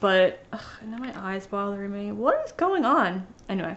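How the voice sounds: Big pitch swings at a moderate pace, with a fairly bright tone. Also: woman, medium pitch for a woman.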